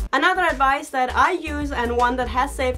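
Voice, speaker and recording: Over music in the background, a woman with a high-pitched voice speaks at a fairly quick pace. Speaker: snake keeper. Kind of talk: casual talk to camera.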